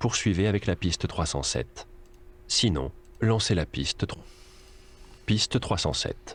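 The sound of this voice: A man with a low pitch, lively intonation and a slow pace.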